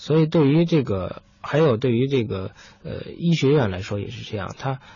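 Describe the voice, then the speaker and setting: A man's lively intonation at a moderate pace. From Beijing. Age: 30s. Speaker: doctor. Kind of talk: interview. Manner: halting.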